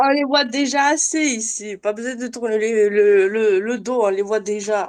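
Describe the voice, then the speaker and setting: A woman's unremarkable speaking voice, fairly high in pitch, at a fairly slow pace with ordinary pitch variation. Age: 20s. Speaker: nursing assistant. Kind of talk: casual chat.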